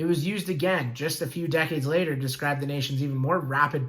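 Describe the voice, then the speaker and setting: A man talks at a very fast pace and a fairly high pitch with fairly even intonation, and there is audible room echo. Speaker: school teacher. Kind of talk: lecture.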